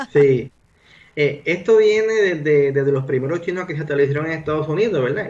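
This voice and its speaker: A man speaks with a Puerto Rican accent. His pitch is fairly high, with ordinary variation. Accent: fully Puerto Rican. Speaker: doctor, guest sharing family history. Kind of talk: radio interview. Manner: halting, many fillers.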